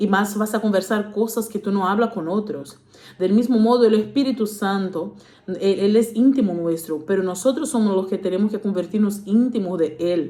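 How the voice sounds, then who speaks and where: Amid audible room echo, a woman talks at a moderate pace and medium pitch. Her tone is dark and mellow, with ordinary pitch variation. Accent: Portuguese. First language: Portuguese (speaking Spanish). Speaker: preacher. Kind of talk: sermon. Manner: halting, many fillers.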